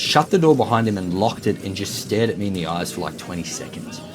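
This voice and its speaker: Music plays in the background as a man speaks with an Australian accent. His pitch swings very widely at a moderate pace. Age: 30s. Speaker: gaming YouTuber. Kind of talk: let's play commentary with casual storytelling. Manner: casual, filler-heavy.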